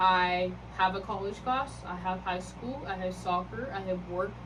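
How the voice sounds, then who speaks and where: A woman talks at a moderate pace. The room echo is audible. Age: young. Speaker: YouTuber. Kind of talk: testimony. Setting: home at night. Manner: quiet; hesitant, many fillers.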